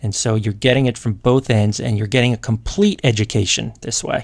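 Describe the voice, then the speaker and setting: Using a plain, everyday voice, a man speaks at a fairly quick pace with a medium pitch and fairly even intonation. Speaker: podcast host and Latin teacher. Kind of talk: interview.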